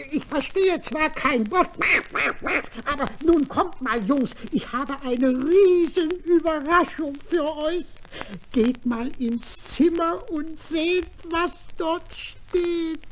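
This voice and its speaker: A high-pitched, put-on character voice at a very slow pace, with clear background noise. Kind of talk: children's radio play acting. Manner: cheerful, praising, a bit pompous.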